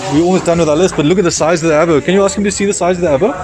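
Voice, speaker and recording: Music plays in the background and room echo is audible as a man with a fairly high pitch speaks with ordinary pitch variation. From South Africa. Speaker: travel vlogger. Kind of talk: casual vlog walkthrough. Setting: outdoor market. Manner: casual, filler-heavy.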